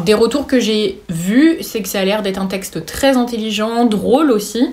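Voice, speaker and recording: The delivery keeps a moderate pace, with background noise clearly noticeable. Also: woman. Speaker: booktuber. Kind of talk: casual book haul talk. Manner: halting, many fillers.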